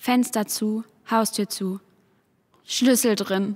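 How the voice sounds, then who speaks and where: Her pace is very slow. The woman's intonation stays fairly even. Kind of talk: poetic spoken performance, lines passed between voices.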